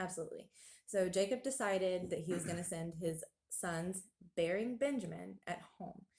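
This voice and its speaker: A woman's somewhat breathy voice holds a medium pitch and ordinary pitch variation. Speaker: Bible study teacher. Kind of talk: Bible study discussion. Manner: fast; hesitant, many fillers.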